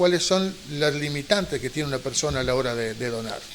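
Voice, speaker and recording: Amid noticeable background noise, a man with a fairly high pitch talks at a fairly quick pace with lively intonation. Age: 50s to early 60s. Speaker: TV show host. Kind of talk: TV interview.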